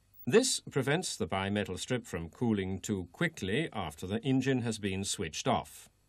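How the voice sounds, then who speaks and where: A man with an unremarkable speaking voice, fairly low pitch, lively intonation, moderate pace and hardly any pauses. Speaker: training film narrator. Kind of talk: vintage technical training film narration, scripted. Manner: formal; measured, even, step-by-step instructional delivery.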